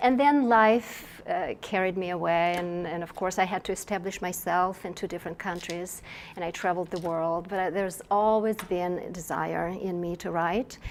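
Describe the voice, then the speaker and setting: A woman speaks in a Russian accent at a moderate pace with hardly any pauses. Her medium pitch follows fairly even intonation. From Russia (Moscow). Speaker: novelist. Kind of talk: interview. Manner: halting, with many fillers and restarts.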